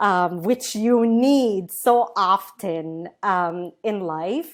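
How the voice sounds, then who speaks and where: A woman's very slow speech at a medium pitch with lively intonation. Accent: Arabic. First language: Arabic. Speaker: tech company co-founder. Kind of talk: podcast interview. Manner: halting, many fillers.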